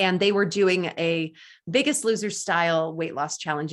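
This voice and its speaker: Against a quiet background, a woman with a fairly low pitch talks at a fairly quick pace in an enthusiastic tone, with ordinary pitch variation. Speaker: race announcer and radio host. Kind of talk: interview answer.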